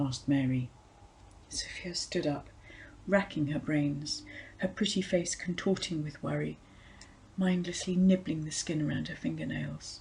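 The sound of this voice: Low-pitched and slightly mellow, a woman speaks at a fairly slow pace with vocal fry and ordinary pitch variation.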